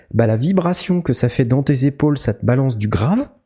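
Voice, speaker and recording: His voice is fairly high, somewhat breathy, with a dark, mellow tone. The man speaks at a fairly quick pace with lively intonation. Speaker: podcast host. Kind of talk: casual chat. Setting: new empty studio.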